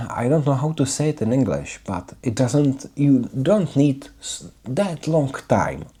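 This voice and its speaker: Speaking at a fairly slow pace with a non-native accent, the dark, mellow voice comes through a very clean recording with a silent background. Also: man. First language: not English. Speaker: English learner vlogger. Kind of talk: video diary monologue. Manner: halting, with fillers and repetitions.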